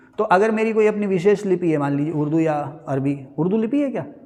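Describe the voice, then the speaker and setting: This man's voice sits high in pitch and has lively intonation. The room adds an audible echo. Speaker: teacher. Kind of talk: lecture. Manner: conversational, rhetorical questions.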